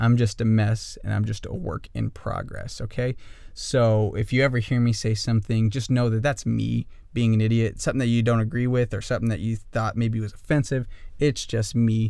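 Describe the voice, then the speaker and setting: An ordinary speaking voice: a man with an American accent talks at a fairly quick pace in a medium pitch, his intonation fairly even. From northern Idaho. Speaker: podcast host. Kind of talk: solo monologue.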